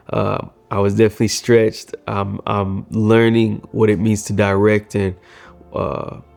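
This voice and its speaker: Music plays behind a man with a fairly low-pitched voice. His intonation is monotone and flat. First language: Swahili. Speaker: filmmaker. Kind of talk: casual reflective vlog. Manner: hesitant, many fillers.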